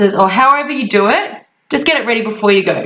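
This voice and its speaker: A woman with an Australian accent, fairly high pitch, ordinary pitch variation and fairly quick pace, with audible room echo. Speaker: travel vlogger. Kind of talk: casual tutorial. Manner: fast; animated.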